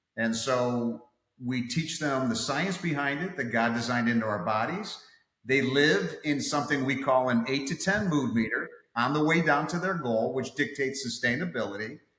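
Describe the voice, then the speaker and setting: The man's words come at a moderate speed, and the room echo can be heard. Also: medium pitch for a man, ordinary pitch variation. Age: 60s. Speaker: fitness coach. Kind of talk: casual interview.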